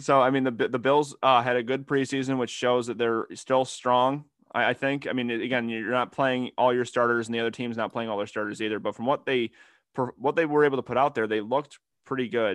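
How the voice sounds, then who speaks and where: A man with a normal speaking voice, medium pitch, fairly even intonation and a fairly quick pace. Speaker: sports podcast host. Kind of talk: casual chat. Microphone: new microphone.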